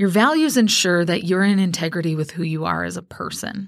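At a moderate pace, a woman speaks in a fairly low voice with ordinary pitch variation, recorded very cleanly against a silent background. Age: 40s. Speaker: business coach and podcast host. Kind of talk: solo motivational podcast talk. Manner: animated.

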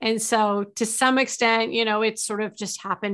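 A woman speaks in a plain, everyday voice at a fairly high pitch. Her pace is moderate, and the background is quiet. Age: 50s. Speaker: sales advisor and trainer. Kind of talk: interview.

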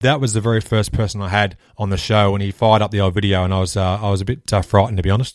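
A man with an Australian accent talks at a very fast pace. His pitch is fairly low, and the recording is very clean with a silent background. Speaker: podcast host, guest on another show. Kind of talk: scripted outro promo; casual interview chat.

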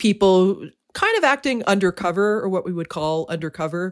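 A woman is heard in a very clean recording against a silent background. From Canada. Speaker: true crime writer and editor. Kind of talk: interview conversation.

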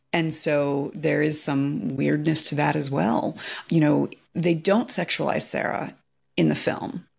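A woman speaks fairly slowly with a very deep, low pitch and vocal fry. Her pitch varies in an ordinary way on a very clean recording with a silent background. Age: 40s. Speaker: podcast host. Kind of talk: casual chat.

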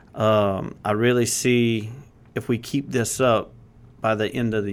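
A man speaks in a Louisiana accent at a fairly low pitch, his intonation monotone and flat. The recording is very clean, with a silent background. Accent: Cajun Louisiana. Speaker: insurance agency leader. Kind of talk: casual interview.

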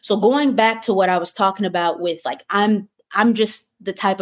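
At a moderate pace comes a normal speaking voice. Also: woman. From Michigan. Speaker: spiritual coach. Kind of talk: livestream monologue. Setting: livestream.

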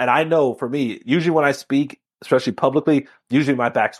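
A fairly high-pitched man with a Miami accent at a fairly quick pace, ordinary pitch variation, and a quiet background. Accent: Miami accent, audible in fast speech. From Miami, Florida. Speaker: law enforcement officer and keynote speaker. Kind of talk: interview conversation. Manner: fast.

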